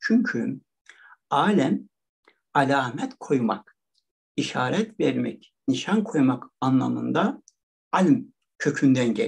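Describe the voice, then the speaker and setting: Against a quiet background, a man talks at a very slow pace, leaving long, frequent pauses. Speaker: religious studies professor. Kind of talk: lecture. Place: home room. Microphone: webcam.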